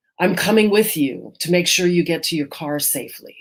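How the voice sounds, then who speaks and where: A woman's raspy put-on character voice, fairly low in pitch, at a moderate pace with ordinary pitch variation. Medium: read story. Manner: gruff, terse.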